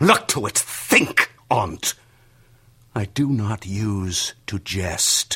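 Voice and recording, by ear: Using a put-on character voice, a man speaks very slowly in a fairly low pitch with lively intonation, a bright, sharp tone and a slightly husky edge.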